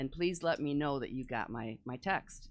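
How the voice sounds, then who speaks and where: A woman with an American accent and lively intonation, at a moderate pace over a quiet background. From US Midwest, northern Illinois. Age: 70s. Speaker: resident speaking at public comment. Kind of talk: public comment at a government meeting.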